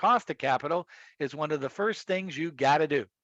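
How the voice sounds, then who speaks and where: A man talks at a fairly quick pace in a normal speaking voice, his pitch fairly high. His pitch varies in an ordinary way, and the background is quiet. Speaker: professor. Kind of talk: lecture.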